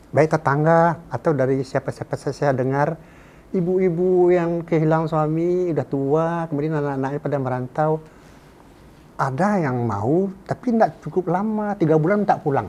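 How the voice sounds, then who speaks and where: The man's voice is fairly high in pitch, with a dark, mellow tone. He keeps ordinary pitch variation at a moderate pace. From West Sumatra (Minangkabau). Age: 70s. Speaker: writer and professor. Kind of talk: interview conversation. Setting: podcast studio. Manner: halting, with repetitions.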